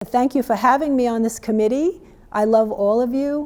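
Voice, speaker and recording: A woman speaks in a New York accent with fairly even intonation. Her tone is dark and mellow. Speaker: local history commission volunteer. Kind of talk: prepared testimonial statement. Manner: halting, with fillers.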